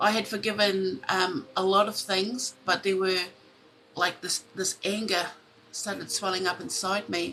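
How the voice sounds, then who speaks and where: With a New Zealand accent, a woman talks at a fairly slow pace. Her pitch sits at a medium level and her intonation is fairly even. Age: 40s. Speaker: tarot reader. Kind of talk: live stream chat. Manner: halting.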